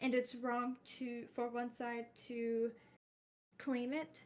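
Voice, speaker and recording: With an American accent, a woman talks at a high pitch and a very slow pace in a flat, monotone delivery. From Iraq and Jordan. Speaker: interviewee. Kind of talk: interview answers. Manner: halting, many fillers.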